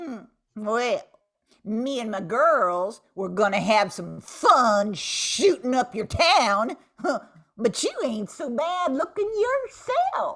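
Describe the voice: A woman puts on a character voice, fairly high in pitch with a fairly bright tone. She speaks slowly and swings her pitch widely.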